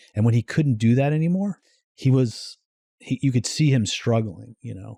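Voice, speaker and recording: Somewhat breathy, a man's voice comes through with a dry, close sound and no echo. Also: medium pitch for a man, moderate pace, big swings in loudness. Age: 60s. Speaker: entrepreneur. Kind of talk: casual chat.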